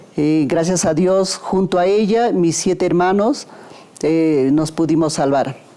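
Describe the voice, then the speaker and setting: At a very slow pace, a woman speaks in a fairly low pitch with very even loudness over noticeable background noise. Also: ordinary pitch variation. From Peru, Huaraz (Andes). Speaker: son or daughter of a covid survivor. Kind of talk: documentary interview. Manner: halting, with fillers.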